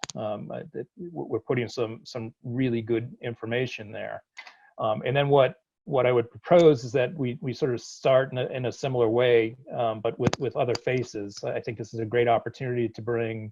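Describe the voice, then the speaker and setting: With a slight Boston accent, the speaker talks at a moderate pace with fairly even intonation. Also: man, medium pitch for a man. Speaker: college dean. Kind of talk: virtual town hall. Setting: video call. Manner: halting, many repetitions and fillers.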